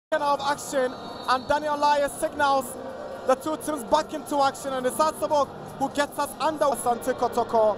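Noticeable background noise runs under the voice. The speech moves at a moderate pace. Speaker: football commentator. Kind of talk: live play-by-play football commentary. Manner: excitable, rising to a shout at the final whistle.

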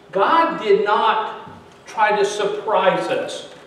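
A man speaks with lively intonation. Light background noise and audible room echo are present. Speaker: pastor. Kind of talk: sermon. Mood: earnest teaching. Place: church. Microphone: podium.

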